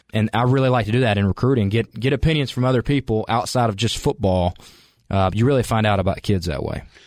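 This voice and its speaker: A man with a Southern US accent talks at a very fast pace in a medium pitch with ordinary pitch variation. His loudness stays very even, and the sound is dry and close with no echo. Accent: Southern US (Georgia). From US South, Calhoun, Georgia. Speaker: college football coach. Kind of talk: interview.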